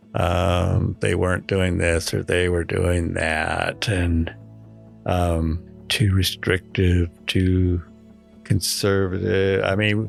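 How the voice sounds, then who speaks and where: A man's very deep, low voice at a very slow pace, with fairly even intonation, very even loudness, and music in the background. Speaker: church member recounting addiction. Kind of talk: interview answer.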